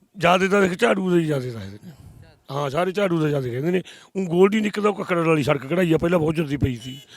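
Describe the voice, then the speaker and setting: A man with a high voice speaks at a moderate pace with lively intonation. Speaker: villager interviewed. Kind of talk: street interview.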